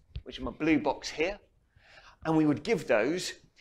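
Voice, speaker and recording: The intonation of this man's speech is lively. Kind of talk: lecture. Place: hall. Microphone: lapel.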